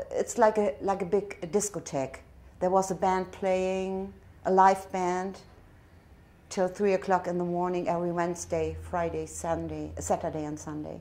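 Speaking with a German accent at a fairly slow pace, a woman uses a medium pitch, fairly even intonation and a dark, mellow tone. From northern Germany. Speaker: tourist. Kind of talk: interview answer. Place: home room.

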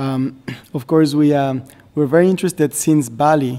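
Speaking with a Spanish accent, a man uses a dark, mellow tone, fairly even intonation and a fairly slow pace. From Mexico. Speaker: government representative of host country. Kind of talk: formal meeting remarks. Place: meeting room. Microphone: podium.

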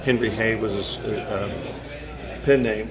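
A man's voice with ordinary pitch variation over loud background noise. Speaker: magician. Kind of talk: interview. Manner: humorous. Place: hall. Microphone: phone near.

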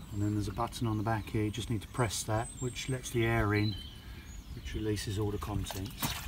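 A man's fairly low voice in fairly even intonation at a fairly quick pace, with noticeable background noise. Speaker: travel vlogger. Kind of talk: travel vlog narration. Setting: on the road and at campsites. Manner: casual, chatty.

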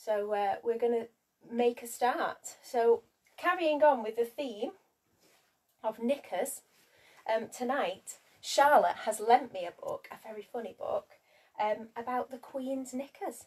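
A woman speaks at a fairly slow pace in a fairly high pitch, her slightly mellow tone carrying a slightly husky edge and ordinary pitch variation.

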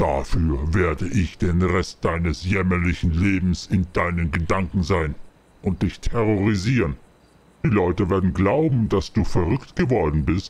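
A man puts on a menacing character voice pitched very deep and low. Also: moderate pace. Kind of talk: horror taunting. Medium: machinima. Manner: menacing, gloating.

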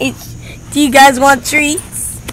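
Over light background noise, a woman speaks at a very slow pace in a dry sound with no echo. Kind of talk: casual talk to pets. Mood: affectionate, baby talk. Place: garden. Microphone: phone near.

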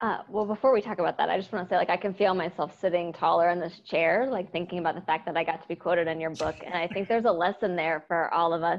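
Talking at a very fast pace, a woman with an American accent has a fairly low pitch and fairly even intonation. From US Midwest, Cincinnati, Ohio; Ohio. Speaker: education consultant, former English teacher; podcast guest. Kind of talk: casual interview conversation. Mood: warm, reflective. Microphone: video call.

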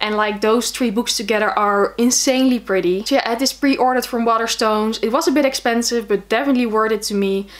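A woman with a Dutch accent speaks at a fairly quick pace with a fairly high pitch and ordinary pitch variation. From Netherlands. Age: 20s. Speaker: book vlogger. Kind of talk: casual video monologue; casual vlog chat. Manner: hesitant with fillers. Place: home room.

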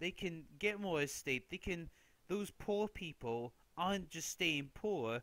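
A man with a British accent at a fairly slow pace with ordinary pitch variation. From Britain. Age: young. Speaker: political commentary youtuber. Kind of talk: casual commentary monologue. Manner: animated.

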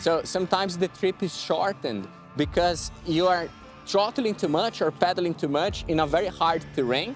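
Over clear music in the background, a man with a high pitch talks at a moderate pace with ordinary pitch variation, the sound dry with no echo. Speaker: presenter. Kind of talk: tutorial. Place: open country. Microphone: lapel.

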